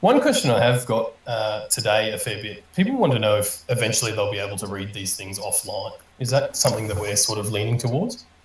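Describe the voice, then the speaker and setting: In a room with audible echo and noticeable background noise, a man talks with hardly any pauses. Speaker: community manager hosting AMA. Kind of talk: live audio AMA panel. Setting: online audio room stage.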